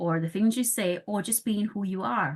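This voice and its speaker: Over a quiet background, the speaker uses lively intonation with a non-native accent. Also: woman. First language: not English. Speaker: parenting specialist and podcast host. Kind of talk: casual podcast conversation.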